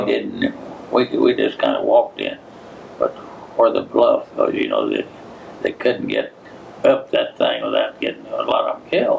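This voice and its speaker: Over noticeable background noise, a man with an American accent talks at a moderate pace, with long, frequent pauses and big swings in loudness. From Giles County, Tennessee. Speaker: World War II veteran. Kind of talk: oral history interview answer.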